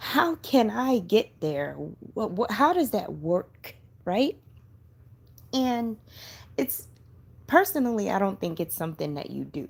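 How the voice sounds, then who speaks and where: Her pitch fairly high and swinging very widely, a woman speaks with long, frequent pauses. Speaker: spiritual lifestyle vlogger. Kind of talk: casual talk to camera. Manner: kindergarten teacher voice.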